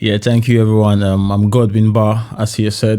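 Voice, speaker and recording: A man with a slight Cameroonian accent speaks at a moderate pace in a fairly low pitch. His tone is dark and mellow, his intonation monotone and flat, on a very clean recording with a silent background. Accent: slight French-Cameroonian twang. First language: French. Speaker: podcast guest, software consultant. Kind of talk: podcast interview.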